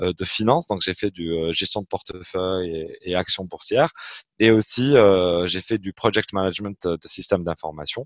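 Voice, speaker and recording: At a fairly slow pace, a man with a fairly low pitch and an unremarkable speaking voice is heard in a dry, close sound with no echo. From Algeria, Algiers. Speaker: entrepreneur. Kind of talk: interview.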